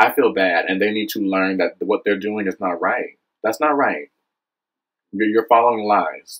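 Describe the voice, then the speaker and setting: Against a quiet background, a man with an American accent speaks at a fairly low pitch with ordinary pitch variation. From US South, South Carolina. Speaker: vlogger, former teacher. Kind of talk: video monologue, social commentary. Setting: self-recorded video. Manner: animated. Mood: frustrated, impassioned. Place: home room. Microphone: webcam.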